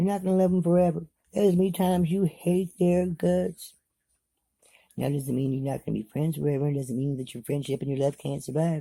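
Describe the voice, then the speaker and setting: A fairly high-pitched man, somewhat breathy with a dark, mellow tone, at a fairly quick pace. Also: ordinary pitch variation. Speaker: vlogger. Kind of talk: motivational monologue.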